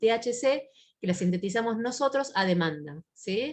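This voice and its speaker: A somewhat breathy woman's voice with lively intonation. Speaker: psychiatrist. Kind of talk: lecture. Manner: fast; halting with fillers.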